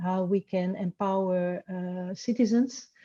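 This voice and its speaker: A woman's dark, mellow voice at medium pitch, against a quiet background. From French, grew up abroad in various countries. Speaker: researcher in education. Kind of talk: interview. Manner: halting, many fillers.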